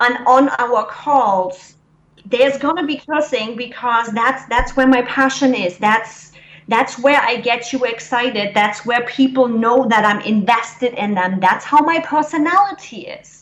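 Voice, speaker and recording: In a German accent, a woman with a high pitch and ordinary pitch variation speaks at a fairly slow pace over noticeable background noise. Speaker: business coach. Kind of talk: interview. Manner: blunt.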